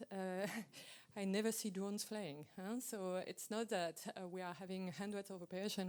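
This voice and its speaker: A woman's medium-pitched voice with a French accent, at a moderate pace. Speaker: aviation regulator presenting at workshop. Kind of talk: technical Q&A answer. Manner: hesitant with fillers.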